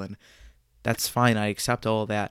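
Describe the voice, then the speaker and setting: A man speaks in a fairly low voice with monotone, flat intonation. The sound is dry and close with no echo, on a very clean recording with a silent background. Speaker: podcaster sharing personal story. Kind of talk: personal storytelling monologue.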